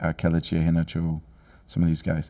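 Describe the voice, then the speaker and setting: Very deep and low, the man's voice has a dark, mellow tone. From Nigeria (Jos). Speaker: university president. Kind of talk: interview. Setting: studio.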